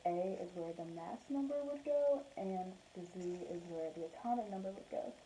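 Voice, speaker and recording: A soft-spoken woman talks at a fairly slow pace with a medium pitch and ordinary pitch variation. Noticeable background noise runs under her voice. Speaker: student presenter. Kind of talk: class presentation. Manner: quiet, soft-spoken; halting.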